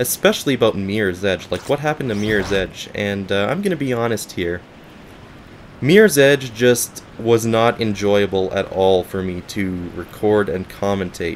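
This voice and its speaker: With noticeable background noise around him, a man's fairly low voice moves at a moderate pace and shows ordinary pitch variation. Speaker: gaming YouTuber. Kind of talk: gaming commentary update. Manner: casual, rambling.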